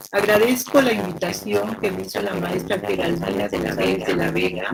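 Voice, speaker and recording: A woman speaks with music in the background. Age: 70s. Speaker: human rights activist. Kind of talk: panel talk.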